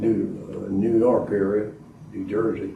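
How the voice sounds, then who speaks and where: A man with an Arkansas accent, fairly low-pitched and somewhat breathy, at a very slow pace amid audible room echo. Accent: Southern US (Arkansas). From southwest Arkansas, US South. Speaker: war veteran. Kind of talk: oral history interview. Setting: library, in-person interview. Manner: halting, many filler uhs.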